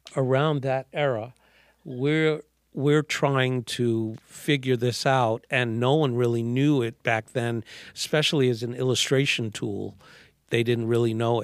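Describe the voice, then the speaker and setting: In a New York accent, a man speaks at a medium pitch with fairly even intonation. His pace is fairly slow, on a very clean recording with a silent background. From New York City, Manhattan. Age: 60s. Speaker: artist. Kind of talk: casual chat. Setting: studio.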